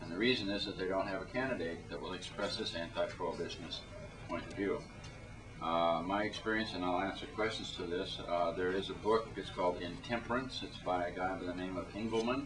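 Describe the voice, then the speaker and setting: A man with a very deep, low pitch talks at a fairly quick pace with ordinary pitch variation. Noticeable background noise and audible room echo fill the recording. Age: 50s. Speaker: panelist, drug policy reform activist. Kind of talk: panel discussion talk.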